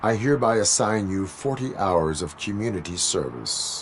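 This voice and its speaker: Over clear background noise, a man uses a put-on character voice, fairly low in pitch, at a moderate pace. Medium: video game. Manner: flat, clipped, formal.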